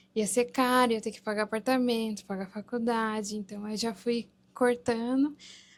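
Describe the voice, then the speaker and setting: Her fairly high pitch stays monotone and flat as the woman speaks at a fairly slow pace. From Japan (Gunma), Brazilian family. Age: 20s. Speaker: former university student in Japan. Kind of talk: casual talk-show interview.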